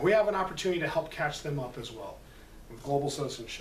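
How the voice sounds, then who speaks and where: This man rushes along at a very fast pace, his voice carrying audible room echo over noticeable background noise. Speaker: preschool teacher. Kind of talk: parent workshop presentation.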